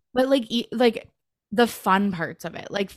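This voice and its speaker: Ordinary pitch variation marks this woman's speech on a very clean recording with a silent background. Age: 30s. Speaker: podcast host. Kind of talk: casual chat.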